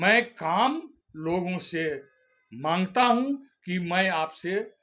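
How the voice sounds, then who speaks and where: A man speaks with lively intonation. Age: 70s. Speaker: activist leader and contractor. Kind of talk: press statement.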